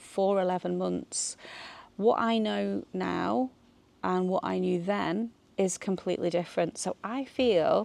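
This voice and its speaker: Speaking at a very slow pace, a woman talks with a British accent. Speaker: vlogger. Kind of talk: casual vlog talk. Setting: outdoors in a garden. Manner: hesitant, many fillers.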